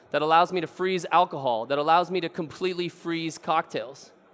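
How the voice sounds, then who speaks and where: A man speaks in an animated tone at a fairly quick pace. His pitch is high. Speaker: bartender. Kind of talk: conference talk. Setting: stage with audience. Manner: fast.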